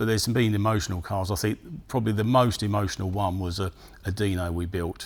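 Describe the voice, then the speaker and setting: A man with a plain, everyday voice speaks at a fairly quick pace. His pitch is fairly low and his intonation fairly even. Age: 60s. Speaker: classic car restorer and business owner. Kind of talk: interview.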